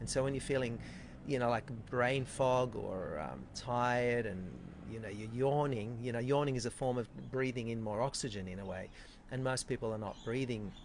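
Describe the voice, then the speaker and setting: A man speaks with a medium pitch and ordinary pitch variation. His pace is fairly quick. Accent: Australian. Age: 50s. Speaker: chiropractor. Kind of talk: interview.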